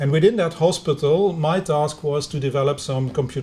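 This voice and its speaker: A man with a Flemish accent talks at a moderate pace in a fairly high pitch, with ordinary pitch variation and a somewhat breathy sound. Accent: Belgian Dutch-speaker accent in English. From Belgium, Ghent (Flemish). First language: Dutch. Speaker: university lecturer in engineering. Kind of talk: lecture. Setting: video conference. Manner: halting, many fillers.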